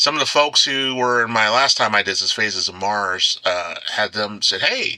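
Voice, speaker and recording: Noticeable background noise is present. A man talks with ordinary pitch variation. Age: 50s. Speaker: author and anthology editor. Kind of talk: casual chat.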